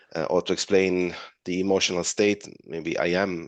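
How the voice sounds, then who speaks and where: A man's very deep, low-pitched voice with an Italian accent at a moderate pace, dry and close with no echo against a quiet background. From Italy. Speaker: webinar moderator. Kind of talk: Q&A discussion. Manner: halting.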